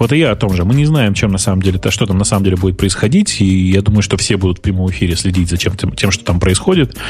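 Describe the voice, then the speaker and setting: Over noticeable background noise, a man with a fairly low pitch and ordinary pitch variation talks at a very fast pace, with very even loudness and hardly any pauses. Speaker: tech podcast co-host. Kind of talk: casual chat.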